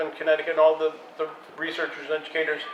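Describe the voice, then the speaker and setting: A high-pitched man with an American accent at a fairly quick pace, with noticeable background noise. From United States. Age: 60s. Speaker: filmmaker. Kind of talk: panel discussion. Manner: animated.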